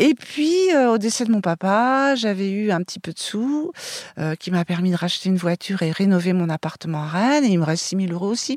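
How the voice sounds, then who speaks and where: With lively intonation and a fairly quick pace, a woman speaks at a medium pitch in a dry, close sound with no echo. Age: 60s. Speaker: interviewee, former nurse. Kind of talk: interview. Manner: hesitant.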